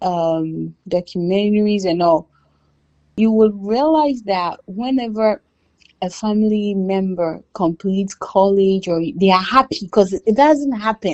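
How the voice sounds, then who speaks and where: The pace is fairly slow as a woman speaks. Her pitch moves in an ordinary way. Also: medium pitch for a woman. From Ghana. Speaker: immigrant businesswoman. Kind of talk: casual interview chat. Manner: animated.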